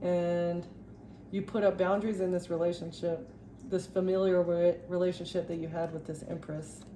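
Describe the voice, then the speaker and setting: Monotone, flat intonation amid noticeable background noise. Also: woman. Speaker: tarot reader. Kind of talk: tarot reading monologue. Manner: stuttering, halting; fast.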